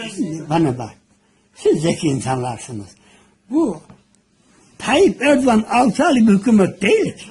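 The voice moves in very wide pitch swings and leaves long, frequent pauses. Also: man, high pitch for a man, big swings in loudness. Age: 80s+. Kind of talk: casual conversation filmed at home.

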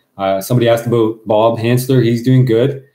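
With a normal speaking voice, a man moves at a fairly quick pace and keeps his intonation fairly even. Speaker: outdoorsman co-host. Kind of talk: casual livestream chat. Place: home room. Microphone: webcam.

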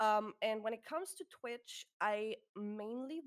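With a German accent, a woman talks very slowly in a fairly high pitch against a quiet background. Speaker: streamer and podcast co-host; streamer, podcast co-host. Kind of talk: casual chat. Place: home room.

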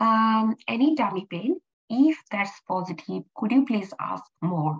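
In a dry, close sound with no echo, a woman speaks very slowly in a fairly high, somewhat breathy voice with very wide pitch swings. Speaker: medical exam tutor. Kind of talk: tutorial. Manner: hesitant, many fillers.

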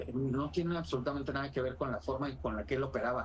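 Here a man talks. There is a light amount of noise behind him. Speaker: crime journalist. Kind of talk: interview. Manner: formal.

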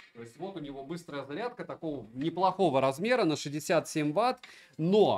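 Lively in intonation, a man talks at a moderate pace with a fairly high pitch. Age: 40s. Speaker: tech reviewer streamer. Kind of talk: live stream review. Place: home room.

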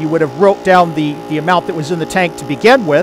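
The recording is dry with no echo, and clear music sits in the background. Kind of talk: tutorial. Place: garage. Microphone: phone near.

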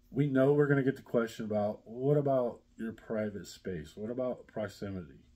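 Dark and mellow in tone, a man speaks at a moderate pace. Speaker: vlogger. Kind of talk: casual vlog chat. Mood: relaxed, hopeful. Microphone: phone near.

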